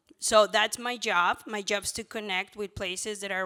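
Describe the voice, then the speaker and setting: A woman speaks in a Mexican accent at a fairly quick pace. Her tone is bright and sharp on a very clean recording with a silent background. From Mexico. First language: Spanish. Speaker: former abortion clinic worker, pro-life ministry worker. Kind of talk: conference panel talk. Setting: stage with audience. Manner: animated.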